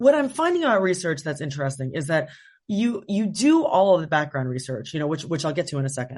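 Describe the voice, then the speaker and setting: Against a quiet background, a woman with a very deep, low, somewhat breathy voice talks very fast with lively intonation. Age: 40s. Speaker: novelist. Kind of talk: interview. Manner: hesitant, many fillers.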